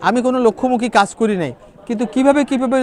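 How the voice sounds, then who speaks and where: Crowd noise fills the background as a man talks with ordinary pitch variation. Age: 60s. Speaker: novelist and psychology professor. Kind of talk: interview.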